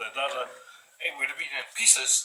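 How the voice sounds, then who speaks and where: A man with a strong Scottish accent at a fairly quick pace. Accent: thick Scottish. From Orkney Islands, Scotland. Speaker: craftsman. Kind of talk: impromptu explanation to camera.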